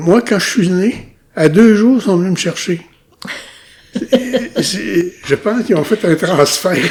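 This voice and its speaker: The intonation is lively. The pace is very slow. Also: man, high pitch for a man. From Quebec, Ilnu community of Mashteuiatsh, Lac-Saint-Jean. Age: 70s. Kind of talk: interview, life story. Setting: recorded at his home community. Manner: hesitant, many repetitions and fillers.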